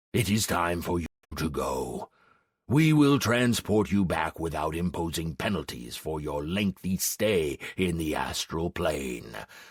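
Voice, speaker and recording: In a put-on character voice, a man growls at a fairly slow pace with a very deep, low pitch. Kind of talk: fantasy audiobook. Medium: read story. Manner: growling, solemn.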